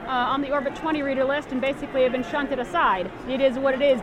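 Amid crowd noise and audible room echo, a woman with a high pitch talks at a very fast pace with fairly even intonation. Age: 30s. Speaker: blind conference attendee vlogging. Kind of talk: casual chat while walking an exhibit hall. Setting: conference exhibit hall. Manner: halting.

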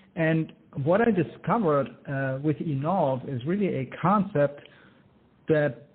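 A man with a German accent speaks at a fairly slow pace and a fairly high pitch, with ordinary pitch variation. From Germany. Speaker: inventor and entrepreneur. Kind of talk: interview. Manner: enthusiastic.

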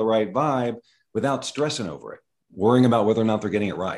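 A man is speaking. The background is quiet. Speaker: brain rewiring trainer and coach. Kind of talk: interview, explanatory chat.

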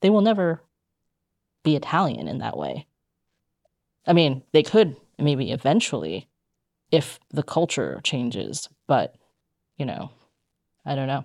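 With long, frequent pauses at a fairly slow pace, a woman speaks in a very deep, low voice with vocal fry and lively intonation, the sound dry and close with no echo in a very clean recording with a silent background. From United States, Chinese immigrant family. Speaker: podcast co-host. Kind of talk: casual chat.

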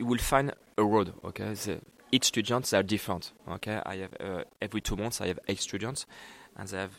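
Speaking at a fairly quick pace, a man with a French accent uses a fairly low pitch and ordinary pitch variation on a very clean recording with a silent background. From France. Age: 30s. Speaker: executive chef at cooking school. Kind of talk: interview. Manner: halting.

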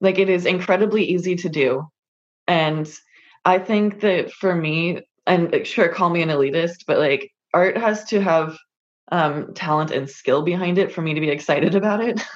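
This is a normal speaking voice, moving at a moderate pace with ordinary pitch variation. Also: woman, fairly low pitch for a woman. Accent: American. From US West Coast, California. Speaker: model, artist and photographer. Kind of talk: interview.

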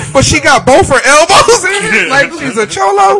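Over noticeable background noise, a man with a raised, projected voice speaks at a fairly slow pace with very wide pitch swings. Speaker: podcast co-host. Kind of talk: casual banter, comedy podcast.

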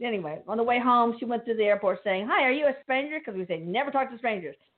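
Speaking in a normal speaking voice with an American accent, a woman has a fairly high pitch and ordinary pitch variation. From New York. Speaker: podcast host interviewing psychic mediums. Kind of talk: casual chat. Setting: live online show with callers.

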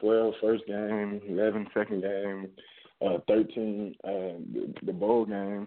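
In a Southern US accent, a man speaks very slowly with a fairly low pitch and monotone, flat intonation. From Georgia, US South (Augusta). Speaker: college football player. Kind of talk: interview.

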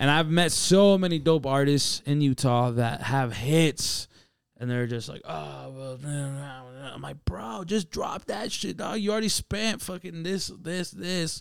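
A man's normal speaking voice, fairly high in pitch, with lively intonation, big swings in loudness, and a fairly slow pace, on a very clean recording with a silent background. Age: 20s. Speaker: rapper and musician. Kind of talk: casual chat.

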